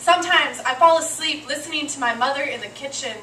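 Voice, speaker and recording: Against noticeable background noise, a woman speaks in a raised, projected voice with ordinary pitch variation. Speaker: slam poet. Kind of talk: slam poetry performance.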